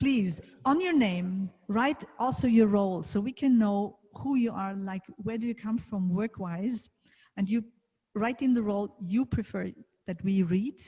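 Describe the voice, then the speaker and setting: A woman's fairly slow, somewhat breathy delivery with a dark, mellow tone. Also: medium pitch for a woman, ordinary pitch variation. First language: German. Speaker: leadership coach and event host. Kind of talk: event moderation.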